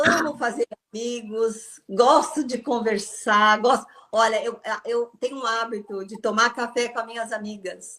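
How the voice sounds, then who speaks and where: A woman's fairly high-pitched, normal speaking voice at a fairly slow pace, with fairly even intonation. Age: 60s. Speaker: former Jehovah's Witness, ex-salon owner. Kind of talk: interview.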